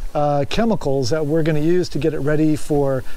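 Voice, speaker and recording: Light background noise sits behind a man whose pitch varies in an ordinary way. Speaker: boat builder vlogger. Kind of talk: casual vlog chat. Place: boat. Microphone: phone near.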